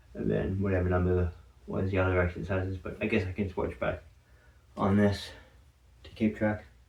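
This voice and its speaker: This man's voice is very deep and low, and somewhat breathy. He keeps fairly even intonation at a moderate pace, with long, frequent pauses. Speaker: fitness vlogger. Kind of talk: casual workout vlog. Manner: slurred words.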